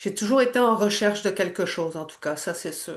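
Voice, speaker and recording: A woman talks at a fairly slow pace with a Quebec accent. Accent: Québécois French. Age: 60s. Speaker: energy healer. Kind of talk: testimony. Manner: halting.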